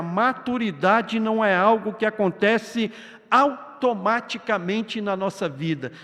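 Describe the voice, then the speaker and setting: Noticeable background noise fills the recording. Behind it, this man's pitch varies in an ordinary way. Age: 60s. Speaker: pastor. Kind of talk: sermon. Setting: church.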